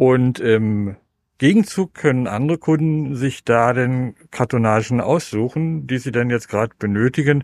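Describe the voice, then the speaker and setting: A man with an ordinary speaking voice and medium pitch talks at a moderate pace with ordinary pitch variation, the sound dry and close with no echo. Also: very clean recording, silent background. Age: 60s. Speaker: shop owner. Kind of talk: on-site interview. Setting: in his shop.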